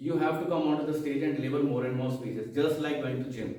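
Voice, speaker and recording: Talking at a fairly quick pace in a Haryana accent, a man is heard with audible room echo. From India, Haryana. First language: Haryanvi. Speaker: experienced club member, speaker. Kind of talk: motivational speech.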